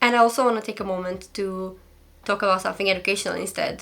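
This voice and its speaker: At a fairly quick pace, someone with a non-native accent speaks with fairly even intonation. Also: woman. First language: not English. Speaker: commentary YouTuber. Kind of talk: casual commentary to camera. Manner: fast.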